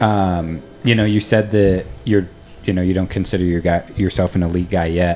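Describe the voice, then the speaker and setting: Speaking at a moderate pace, a man uses a very deep, low pitch, very even loudness and fairly even intonation. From US East Coast. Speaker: podcast host. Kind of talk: casual interview.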